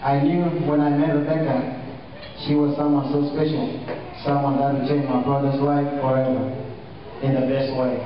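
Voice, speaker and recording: A man's monotone, flat voice at very even loudness, with strong room echo and light background noise. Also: moderate pace. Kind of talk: wedding toast speech. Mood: warm, proud. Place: hall. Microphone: camera far.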